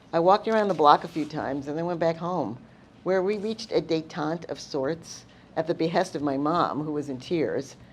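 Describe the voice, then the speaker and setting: A woman speaks in a New York accent with ordinary pitch variation. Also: fairly low pitch for a woman, moderate pace. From Long Island, New York. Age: 70s. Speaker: storyteller. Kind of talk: personal storytelling.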